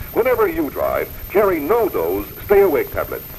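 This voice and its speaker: A man keeps a moderate pace while light background noise runs underneath. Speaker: radio commercial announcer. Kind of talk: 1950s radio commercial read, announcer. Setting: vintage radio spot recorded in studio. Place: studio. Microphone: old recording.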